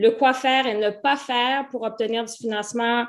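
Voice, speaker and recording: A woman's high voice in fairly even intonation. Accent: Canadian French. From Canada. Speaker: webinar host, business club co-founder. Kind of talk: online masterclass introduction. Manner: hesitant, many fillers.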